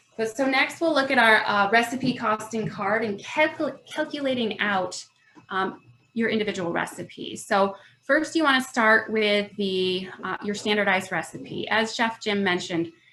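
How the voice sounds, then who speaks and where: A woman with a fairly high pitch and lively intonation talks through noticeable background noise. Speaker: food business workshop presenter. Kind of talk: online workshop presentation. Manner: fast.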